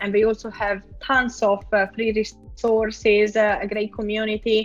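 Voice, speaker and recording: Over music in the background, a woman with an Italian accent talks at a fairly slow pace in a fairly high pitch. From Italy. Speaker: product designer. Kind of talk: interview.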